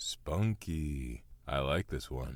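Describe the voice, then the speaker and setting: A man puts on a character voice with a very deep, low pitch and ordinary pitch variation. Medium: audio drama. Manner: sarcastic, deadpan.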